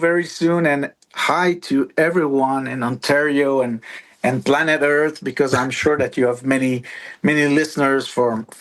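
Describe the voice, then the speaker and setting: Speaking at a fairly slow pace with a French accent, a man uses a fairly high pitch and ordinary pitch variation. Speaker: musician. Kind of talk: casual chat. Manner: halting.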